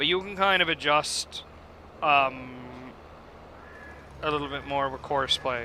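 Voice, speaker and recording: Bright, sharp tone from a man with an East Coast Canadian accent, at a moderate pace. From Canada. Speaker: gaming YouTuber. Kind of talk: gameplay tutorial. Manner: casual, hesitant with fillers.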